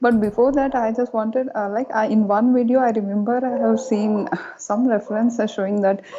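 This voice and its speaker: Against noticeable background noise, a woman with an Indian accent and a fairly high pitch speaks at a moderate pace. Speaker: caller. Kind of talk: phone-in question. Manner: halting.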